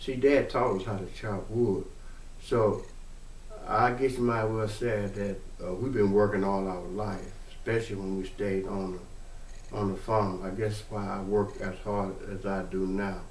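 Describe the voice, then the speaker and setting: A man speaks at a fairly slow pace and fairly low pitch, with fairly even intonation. Audible room echo and noticeable background noise are present. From US South, Mississippi. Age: 60s. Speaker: family storyteller. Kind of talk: personal testimony. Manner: halting.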